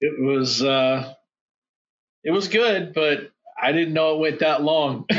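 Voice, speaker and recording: A man speaks with fairly high pitch, ordinary pitch variation and very even loudness. He talks at a very slow pace, with long, frequent pauses. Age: 50s. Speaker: war veteran. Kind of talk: casual chat.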